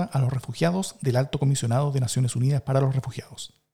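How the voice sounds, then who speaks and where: A very fast, somewhat breathy male voice, fairly high in pitch, with a dark, mellow tone. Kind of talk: news reading. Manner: formal, grave, steady newsreader tone.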